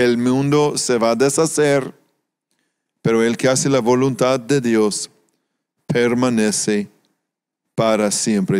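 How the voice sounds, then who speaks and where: Speaking at a fairly slow pace with long, frequent pauses, a man keeps a medium pitch, ordinary pitch variation and very even loudness. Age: 60s. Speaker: pastor. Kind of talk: sermon.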